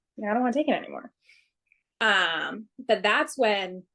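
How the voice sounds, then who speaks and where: This is a plain, everyday voice with an American accent, moving at a moderate pace. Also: woman. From Massachusetts (Swansea). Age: 20s. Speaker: firefighter paramedic. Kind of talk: interview testimony.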